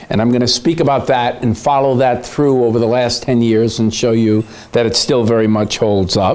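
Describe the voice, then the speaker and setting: Noticeable background noise, very even loudness and fairly even intonation. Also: man, medium pitch for a man, moderate pace. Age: 60s. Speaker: economist. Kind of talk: conference speech. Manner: hesitant, many fillers.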